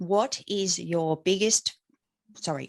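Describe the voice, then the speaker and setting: A woman speaks at a very slow pace with ordinary pitch variation, in a dry, close sound with no echo. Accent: Australian. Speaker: podcast host. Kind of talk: casual chat.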